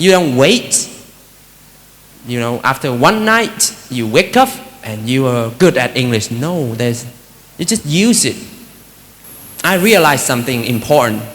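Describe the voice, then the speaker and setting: A man with a Vietnamese accent at medium pitch, a fairly slow pace with long, frequent pauses, very wide pitch swings, and noticeable background noise. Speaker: Buddhist monk giving a talk. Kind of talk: dharma talk. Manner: conversational, many fillers.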